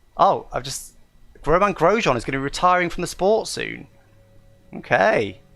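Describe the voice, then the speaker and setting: Music plays in the background as a man speaks in an English accent. His loudness swings widely, and he leaves long, frequent pauses. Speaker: gaming streamer. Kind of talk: live gameplay commentary. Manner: fast; enthusiastic.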